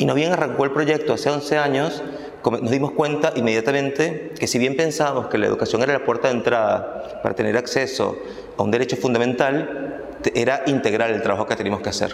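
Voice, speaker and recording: A man talks at a fairly quick pace with a fairly high pitch and ordinary pitch variation, his loudness very even. Audible room echo and noticeable background noise are present. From Venezuela, Caracas. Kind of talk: interview testimony.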